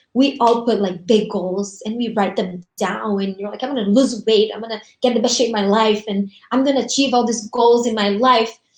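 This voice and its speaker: Somewhat breathy and fairly high in pitch, a woman speaks at a fairly quick pace with fairly even intonation. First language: Portuguese. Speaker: essential oils business host. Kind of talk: casual motivational chat on a livestream. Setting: live video stream.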